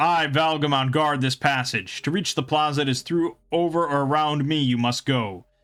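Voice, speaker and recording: A man puts on a character voice, pitched fairly high. He talks at a moderate pace with ordinary pitch variation and hardly any pauses. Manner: menacing.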